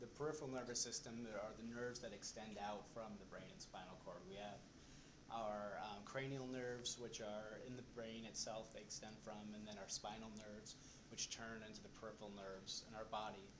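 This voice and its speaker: Audible room echo surrounds a man speaking at a fairly quick pace with medium pitch and fairly even intonation. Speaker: presenter at a support group. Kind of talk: lecture. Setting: in a room with a live audience. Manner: soft-spoken. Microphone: recording may be too quiet.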